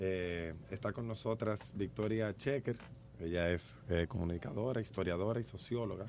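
A man speaks in a plain, everyday voice. His pace is fairly slow, with ordinary pitch variation. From Dominican Republic. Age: 30s. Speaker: radio host. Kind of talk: radio talk show.

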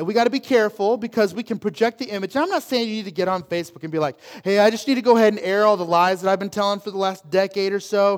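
Over a very clean recording with a silent background, a man speaks at a very fast pace with hardly any pauses, his voice high for a man, his tone animated and his pitch variation ordinary. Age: 30s. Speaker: pastor. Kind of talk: sermon. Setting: church.

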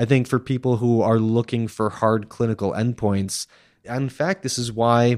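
Heard in a dry, close sound with no echo, a man with an ordinary speaking voice talks at a moderate pace and a medium pitch. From Massachusetts, US. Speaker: nutrition researcher. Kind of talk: interview.

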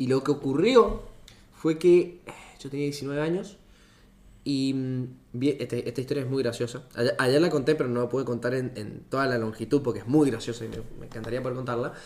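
With long, frequent pauses, a man speaks at a moderate pace and medium pitch, using ordinary pitch variation. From Argentina, Mendoza. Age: 20s. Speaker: engineering student and startup founder. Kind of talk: casual chat.

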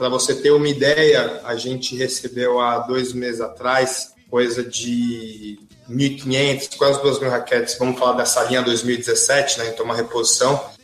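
Flat, monotone speech comes at a fairly slow pace against noticeable background noise. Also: man, medium pitch for a man, hardly any pauses. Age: 20s. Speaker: tennis brand marketing specialist. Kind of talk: casual interview.

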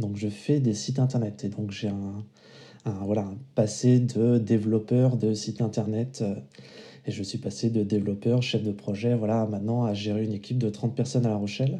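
In a dark, mellow tone, a man with a fairly low pitch talks at a moderate pace with ordinary pitch variation. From Vendée, western France. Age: 30s. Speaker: father and web developer. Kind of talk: casual interview. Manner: hesitant with fillers.

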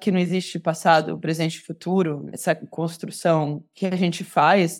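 A woman talks at a moderate pace with fairly low pitch. Hers is an unremarkable speaking voice. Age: 30s. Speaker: photojournalist. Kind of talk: interview conversation.

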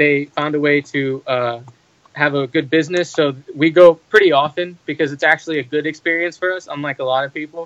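A man with a normal speaking voice keeps a moderate pace and ordinary pitch variation. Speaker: medical student. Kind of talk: casual chat.

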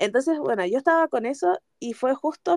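A woman with a Chilean accent speaks at a high pitch in an animated tone. The sound is dry and close with no echo. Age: 20s. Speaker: podcast co-host. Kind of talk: casual chat.

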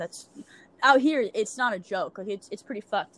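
Speaking fairly quickly in a plain, everyday voice, a woman with an American accent uses a fairly high pitch and lively intonation. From Louisiana, US. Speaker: podcaster. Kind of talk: casual chat. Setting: remote call.

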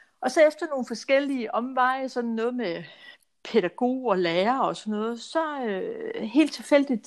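In a very clean recording with a silent background, a woman speaks at a moderate pace in a high pitch with lively intonation. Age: 60s. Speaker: financial adviser. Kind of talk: casual interview.

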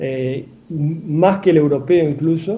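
The pitch variation is ordinary. It is an ordinary speaking voice. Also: man. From Argentina, Santa Fe province. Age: 30s. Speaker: cardiac surgeon. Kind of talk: radio interview.

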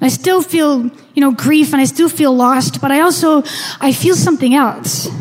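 A woman's high voice at very even loudness, with noticeable background noise. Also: ordinary pitch variation, moderate pace. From Canada. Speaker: storyteller. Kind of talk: storytelling.

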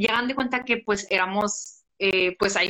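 A woman's voice, fairly high in pitch with a bright, sharp tone, moves with ordinary pitch variation. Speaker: podcast host. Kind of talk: casual live chat. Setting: live stream on Instagram.

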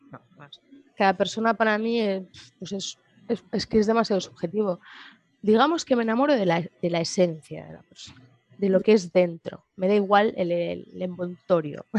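A woman's medium-pitched voice with ordinary pitch variation, a moderate pace, and long, frequent pauses. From Spain, Madrid. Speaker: guest sharing personal testimony. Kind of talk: interview. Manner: halting.

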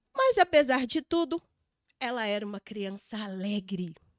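Dry, close sound from a female speaker, free of any echo. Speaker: podcast host and emotional therapist. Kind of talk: interview. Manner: reading from script.

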